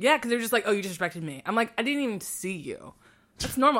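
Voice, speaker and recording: Racing at a very fast pace, a woman's voice moves through very wide pitch swings. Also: very clean recording, silent background. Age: 20s. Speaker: nonprofit worker. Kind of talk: casual chat.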